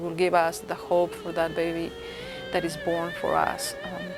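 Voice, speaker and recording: With a Spanish accent, this woman talks at a moderate pace. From Ecuador. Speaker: interviewee on holiday traditions. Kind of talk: interview testimony.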